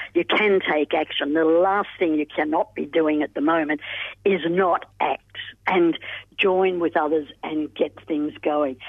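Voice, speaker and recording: A woman's normal speaking voice, fairly low in pitch, at a fairly slow pace with fairly even intonation. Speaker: pensioner advocate. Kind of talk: radio interview. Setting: phone call.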